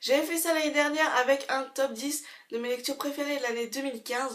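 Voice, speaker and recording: High-pitched female speech with fairly even intonation. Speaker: book reviewer. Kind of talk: casual vlog review. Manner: hesitant, many fillers.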